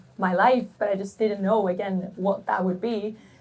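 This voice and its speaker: A woman speaks with a Swedish accent. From Sweden. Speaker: golf content creator. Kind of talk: panel Q&A.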